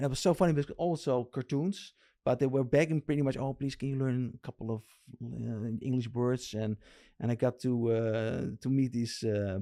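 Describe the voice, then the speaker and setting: A dark, mellow tone with a Dutch accent at a fairly quick pace. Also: man. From Netherlands. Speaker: RC lowrider builder. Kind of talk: casual interview chat. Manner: halting.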